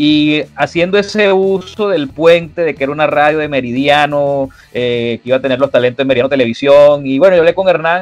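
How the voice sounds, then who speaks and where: A fairly quick pace with hardly any pauses and ordinary pitch variation. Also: man, fairly high pitch for a man. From Venezuela. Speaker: sports journalist and radio host. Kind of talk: interview conversation. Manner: hesitant with many fillers and repetitions.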